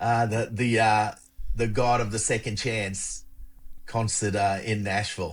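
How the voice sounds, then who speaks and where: Over a very clean recording with a silent background, a somewhat breathy man with an Australian accent and fairly low pitch talks at a fairly slow pace. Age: 60s. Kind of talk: casual interview. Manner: energetic.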